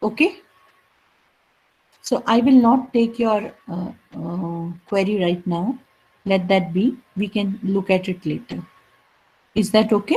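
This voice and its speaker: The speech is somewhat breathy and fairly slow, with ordinary pitch variation and long, frequent pauses. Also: woman, medium pitch for a woman. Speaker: college lecturer. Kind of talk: lecture.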